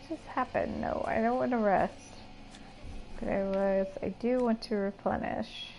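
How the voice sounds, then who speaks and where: A woman's voice at a moderate pace, with long, frequent pauses and big swings in loudness. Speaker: video game streamer. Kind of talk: live game stream commentary.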